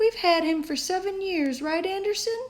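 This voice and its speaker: Squeaky and at an extremely high pitch, a woman puts on a character voice. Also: moderate pace. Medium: read story.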